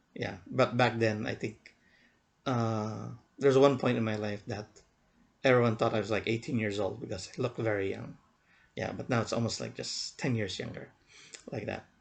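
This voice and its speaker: A man's medium-pitched voice with vocal fry, fairly even intonation, and long, frequent pauses. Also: moderate pace. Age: 40s. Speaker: vlogger. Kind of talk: casual vlog monologue. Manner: halting, many fillers and repeats.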